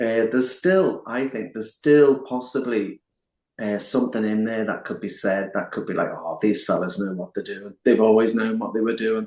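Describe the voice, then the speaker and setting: This man has a plain, everyday voice of medium pitch, speaking at a moderate pace with ordinary pitch variation. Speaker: singer and songwriter in a band. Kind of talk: interview. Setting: online call.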